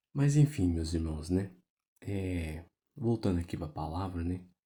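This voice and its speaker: Quiet and dark in tone, a man speaks at a moderate pace with lively intonation on a very clean recording with a silent background. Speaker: gaming youtuber who preaches. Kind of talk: casual sermon over gameplay. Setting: at home at night. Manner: quiet, speaking low.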